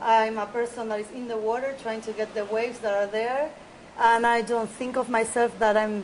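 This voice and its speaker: A woman with a Spanish accent, fairly high in pitch, at a moderate pace. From Buenos Aires, Argentina. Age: 30s. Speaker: big-wave surfer. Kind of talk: interview. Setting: outdoors by the beach.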